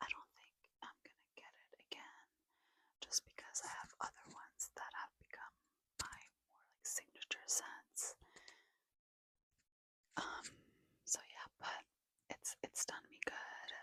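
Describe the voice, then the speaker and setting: A woman whispers at a fairly slow pace with long, frequent pauses. Her loudness swings widely. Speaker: ASMR creator. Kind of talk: ASMR whisper ramble. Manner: whispered.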